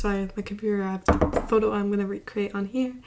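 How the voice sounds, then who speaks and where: A woman mumbles quietly at a medium pitch. Background noise is noticeable. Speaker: beauty vlogger. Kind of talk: makeup tutorial talk to camera. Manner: quiet, mumbling.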